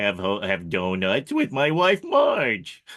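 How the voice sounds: A man speaks in a put-on character voice with a fairly low pitch. His pace is fairly slow.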